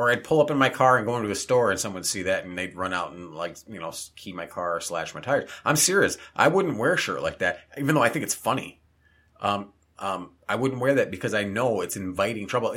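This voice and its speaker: A man talks at a fairly quick pace in a medium pitch. His tone is bright and sharp, with lively intonation. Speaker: podcast co-host.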